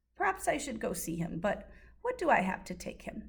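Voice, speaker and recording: A rumbling, put-on character voice moves at a fairly quick pace. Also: woman. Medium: read story. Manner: grumbling, muttering.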